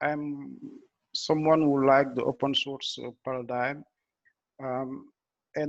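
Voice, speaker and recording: With a French accent, a man speaks very slowly in a fairly high, monotone voice with flat intonation. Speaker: blockchain engineer. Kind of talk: technical presentation. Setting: video call. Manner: halting, many fillers and restarts.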